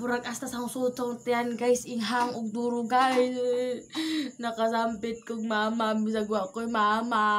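A woman at a fairly slow pace, over light background noise. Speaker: vlogger. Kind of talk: casual vlog chat. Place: shop. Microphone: phone near.

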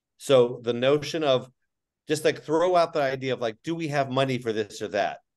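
A man speaks at a moderate speed over a quiet background, with ordinary pitch variation. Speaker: teachers union leader. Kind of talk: panel presentation. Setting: video call. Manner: animated. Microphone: video call.

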